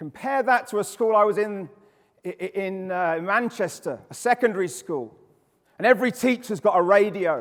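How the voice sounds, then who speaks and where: Loud and animated, a man with an English accent speaks at a high pitch with ordinary pitch variation. He keeps a fairly quick pace. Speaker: behaviour specialist and education speaker. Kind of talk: conference talk.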